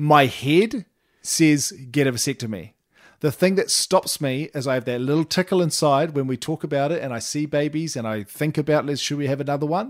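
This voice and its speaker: In a New Zealand accent, a man speaks at a fairly quick pace with an animated tone and fairly high pitch. The recording is very clean with a silent background, and the sound is dry and close with no echo. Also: ordinary pitch variation. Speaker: parenting podcast co-host. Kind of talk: casual chat. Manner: animated, laughing often.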